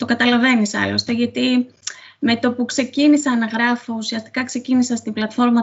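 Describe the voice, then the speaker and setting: This woman's fairly high voice moves at a moderate pace with fairly even intonation. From Crete, Sitia (Greece). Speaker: author. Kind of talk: interview. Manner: hesitant, many fillers.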